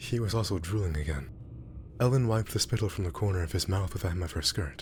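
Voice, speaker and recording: A man's very deep, low, somewhat breathy voice with lively intonation at a very fast pace. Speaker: amateur narrator. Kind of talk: audiobook-style story reading. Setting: background ambience. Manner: mumbling, hard to follow.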